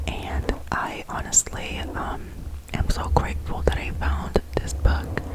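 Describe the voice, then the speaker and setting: Behind the voice is noticeable background noise. The words are whispered. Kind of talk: casual ASMR intro to camera.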